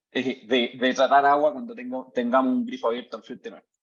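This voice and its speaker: Speaking very fast with an Chilean accent, this voice swings very widely in pitch. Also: man. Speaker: tech company CEO, mining engineer. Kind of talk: lecture. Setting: video call. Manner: hesitant, many fillers.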